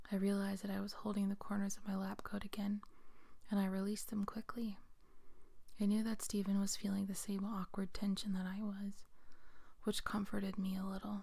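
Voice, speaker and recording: The speaker is soft-spoken and fairly quick, with long, frequent pauses. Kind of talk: read story.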